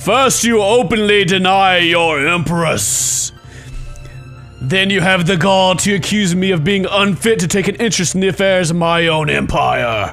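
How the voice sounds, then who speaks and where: A man puts on a high-pitched character voice at a moderate pace. Clear music plays behind him. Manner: powerful, imperious.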